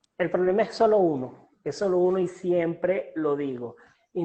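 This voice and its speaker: A man speaks with a Venezuelan accent and a high pitch. His pace is fairly slow, with ordinary pitch variation. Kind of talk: interview answer. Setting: online call.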